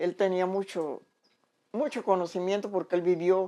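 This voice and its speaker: On a very clean recording with a silent background, a woman speaks at a fairly low pitch and a fairly slow pace, with a dark, mellow tone and ordinary pitch variation. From Panama, Boquete (Chiriquí). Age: 80s+. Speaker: elderly local resident interviewed. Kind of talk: interview, reminiscing. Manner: halting, with repetitions.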